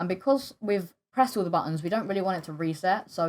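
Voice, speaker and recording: A woman talks at a very fast pace. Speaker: game scripting tutorial creator. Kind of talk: tutorial. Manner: halting, stuttering with fillers.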